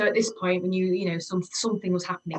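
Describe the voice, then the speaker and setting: A woman's medium-pitched voice with a slight Yorkshire accent and monotone, flat intonation. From Yorkshire, northern England (Leeds, York). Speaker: homecare business owner, former mental health nurse. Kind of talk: interview. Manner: hesitant, many fillers and repetitions.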